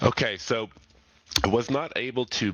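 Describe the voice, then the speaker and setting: Noticeable background noise under an intonation that is lively. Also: man. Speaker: benefits advisor. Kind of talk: presentation. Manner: casual.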